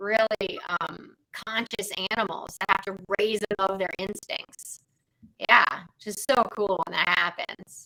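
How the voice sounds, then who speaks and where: Speaking at a very slow pace, a woman uses fairly even intonation and a bright, sharp tone, the sound dry and close with no echo. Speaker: animal communicator. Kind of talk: casual chat.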